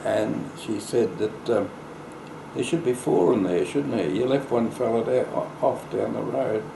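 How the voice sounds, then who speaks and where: Noticeable background noise surrounds the speaker, a man. He talks at a fairly slow pace. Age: 80s+. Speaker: local historian. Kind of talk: interview answer. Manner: slow, hesitant.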